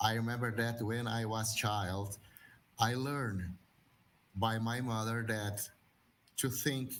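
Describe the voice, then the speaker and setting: A man with a Portuguese accent at medium pitch, monotone and flat, at a very slow pace with long, frequent pauses and audible room echo. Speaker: religious brother and school director. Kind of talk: panel talk.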